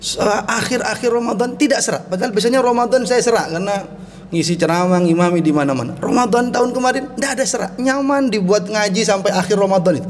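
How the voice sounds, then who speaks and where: A high-pitched man speaks at a fairly quick pace. Room echo is audible, and background noise is noticeable. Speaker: Islamic preacher. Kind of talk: sermon.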